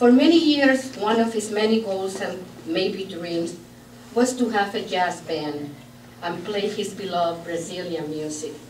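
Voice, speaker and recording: In a Puerto Rican accent, a woman speaks at a fairly slow pace with a medium pitch and lively intonation. Noticeable background noise and audible room echo surround her voice. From Puerto Rico. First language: Spanish. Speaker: bereaved sister giving eulogy. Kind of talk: eulogy read aloud. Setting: memorial gathering in a church.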